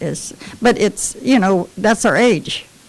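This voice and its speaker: With noticeable background noise, a woman at medium pitch speaks with ordinary pitch variation. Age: 80s+. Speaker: former wartime shipyard worker. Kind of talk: casual chat.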